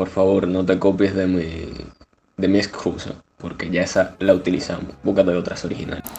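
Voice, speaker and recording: Speaking at a moderate pace, a man has a very deep, low pitch and monotone, flat intonation. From Cuba. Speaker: podcast co-host, engineering student. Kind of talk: casual chat. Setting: video call.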